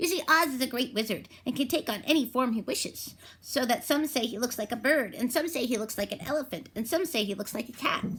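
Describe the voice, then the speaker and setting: Using a put-on character voice, a woman talks at a very fast pace and a high pitch. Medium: read story. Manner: knowing, thoughtful.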